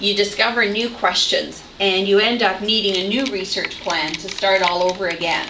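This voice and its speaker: A woman with a medium-pitched voice talks at a moderate pace while noticeable background noise plays beneath her. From Ontario, Canada. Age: 40s. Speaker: teacher. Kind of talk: lecture. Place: classroom. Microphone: camera far.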